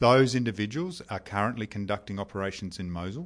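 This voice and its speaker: Someone with an Australian accent talks at a fairly quick pace with ordinary pitch variation. The background is quiet. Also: man. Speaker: army officer. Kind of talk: interview. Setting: deployed overseas military base. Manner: formal.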